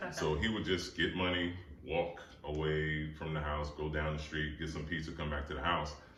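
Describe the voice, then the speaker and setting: With an American accent, a man speaks at a moderate pace in a very deep, low pitch and a monotone, flat intonation. Noticeable background noise and audible room echo are present. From US Northeast, New Jersey. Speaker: author. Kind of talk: interview.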